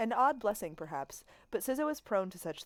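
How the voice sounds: It sounds like a natural reading voice.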